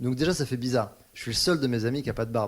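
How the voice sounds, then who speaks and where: On a very clean recording with a silent background, a man talks at a very fast pace at a medium pitch with ordinary pitch variation. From Paris. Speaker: singer-songwriter. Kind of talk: interview. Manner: hesitant, many fillers.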